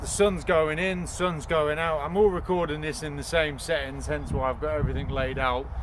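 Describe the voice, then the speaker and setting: With a British accent, a man talks at a moderate pace with hardly any pauses, amid noticeable background noise and audible room echo. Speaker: youtuber testing crossbows. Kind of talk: casual outdoor vlog. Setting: outdoors. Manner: loud; rambling with hesitations. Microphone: no microphone, camera audio.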